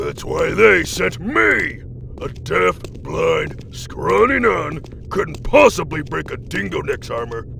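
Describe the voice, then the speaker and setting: A man speaks at a fairly slow pace. Background noise is clearly audible. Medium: audio drama. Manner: cocky, mocking.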